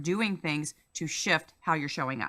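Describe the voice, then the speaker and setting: Bright and sharp in tone, a woman speaks with lively intonation on a very clean recording with a silent background. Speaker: life coach and former police officer. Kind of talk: interview. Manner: fast.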